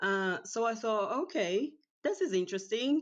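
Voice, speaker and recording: A woman with a Portuguese accent speaks at a fairly slow pace. The background is quiet. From Brazil. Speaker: professional organizer and cleaning coach. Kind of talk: casual interview chat. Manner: hesitant, many fillers.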